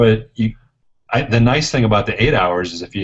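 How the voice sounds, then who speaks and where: A man speaks in an ordinary speaking voice at a moderate pace. His pitch is fairly low, with ordinary pitch variation. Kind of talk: casual live-stream chat.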